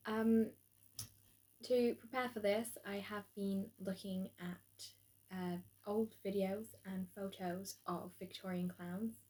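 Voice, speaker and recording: A woman speaks very slowly in a dark, mellow, somewhat breathy voice. Her intonation is monotone and flat. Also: medium pitch for a woman. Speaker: drama student. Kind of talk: spoken video log. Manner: hesitant, many ums.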